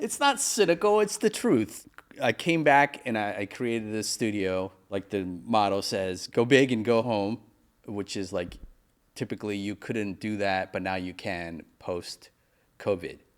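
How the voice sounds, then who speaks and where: A man speaks in a normal speaking voice at a fairly low pitch with ordinary pitch variation. His pace is fairly slow, and the recording is very clean with a silent background. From Pennsylvania, Mechanicsburg. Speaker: podcast host, filmmaker. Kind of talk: casual chat.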